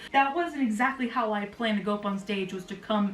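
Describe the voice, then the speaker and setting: A woman talks with audible room echo and noticeable background noise. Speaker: YouTuber recounting amateur stand-up comedy. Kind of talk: casual vlog storytelling. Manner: fast.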